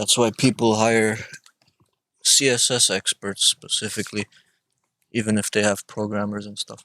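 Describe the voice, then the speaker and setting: A man with a bright, sharp tone and fairly low pitch speaks flatly, in a monotone, at a moderate pace. Long, frequent pauses break it up, and the sound is dry and close with no echo. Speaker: coding instructor. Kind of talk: live coding tutorial. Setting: live stream with screen share.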